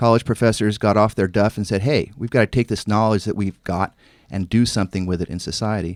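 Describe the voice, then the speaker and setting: A man with an American accent and an unremarkable speaking voice, medium in pitch and fairly quick, in a very clean recording with a silent background and a dry, close sound with no echo. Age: 50s. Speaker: congressional candidate. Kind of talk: radio interview.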